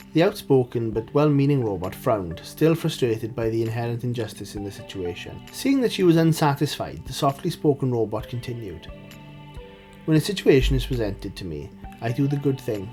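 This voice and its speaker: Music plays in the background as a man talks at a fairly quick pace with lively intonation. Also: medium pitch for a man. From Wales. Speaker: indie writer. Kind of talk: story reading.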